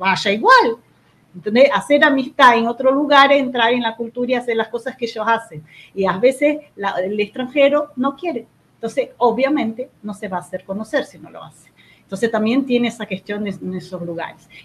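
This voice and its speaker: A woman's fairly high-pitched voice with ordinary pitch variation and big swings in loudness. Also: moderate pace. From Brazil. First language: Portuguese (speaking Spanish). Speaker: co-host. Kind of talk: live stream chat.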